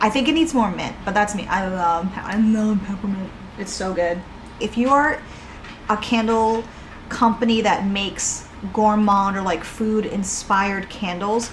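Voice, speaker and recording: Over noticeable background noise and audible room echo, a woman speaks at a fairly slow pace with ordinary pitch variation. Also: medium pitch for a woman. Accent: American. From Boston, New England. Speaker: candle maker and YouTuber. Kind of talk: casual product review. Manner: animated.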